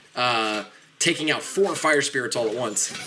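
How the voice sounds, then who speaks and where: A man talks in an animated tone. There is noticeable background noise. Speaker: game streamer and tournament caster. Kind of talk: live game commentary. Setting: home studio apartment, live stream. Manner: fast.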